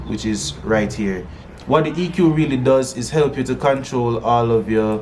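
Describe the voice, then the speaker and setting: Intonation rises and falls in a lively way. Room echo is audible, and background noise is noticeable. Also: man. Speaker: music producer and singer. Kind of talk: tutorial. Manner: casual, halting with fillers.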